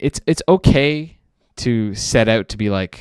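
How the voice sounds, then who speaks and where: A man at medium pitch speaks at a very slow pace with lively intonation. The recording is very clean and dry, close, with a silent background and no echo. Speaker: indie animator streamer. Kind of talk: casual live stream chat. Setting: live stream. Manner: halting, many fillers.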